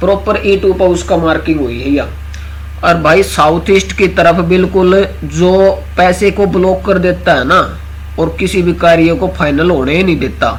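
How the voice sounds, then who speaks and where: A man speaks with a Haryana accent at a very even loudness. Noticeable background noise runs underneath. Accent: Haryanvi. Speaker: astro vastu consultant. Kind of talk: casual online class talk.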